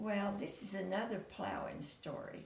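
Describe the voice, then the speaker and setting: A woman with a rural Tennessee accent speaks very slowly at medium pitch. Audible room echo and noticeable background noise surround her voice. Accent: Southern US, Tennessee rural. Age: 90s. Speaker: storyteller. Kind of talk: oral storytelling, family memories.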